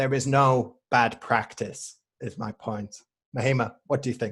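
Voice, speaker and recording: This man speaks in a Mancunian accent at a medium pitch. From northern England, Manchester. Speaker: English teacher. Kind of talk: casual chat. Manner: slow.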